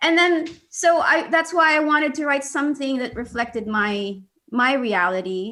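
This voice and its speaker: Very wide pitch swings mark this voice, which has a bright, sharp tone. The pace is moderate. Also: woman. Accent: Philippine. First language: Bisaya. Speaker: children's author and activist. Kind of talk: interview conversation. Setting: video call. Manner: halting, many fillers.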